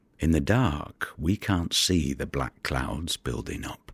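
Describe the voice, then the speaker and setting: A man speaks very slowly in an intense tone, his very deep, low voice carrying vocal fry. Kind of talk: audio drama performance, dramatic monologue. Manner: gravelly, brooding, intense, with vivid poetic delivery.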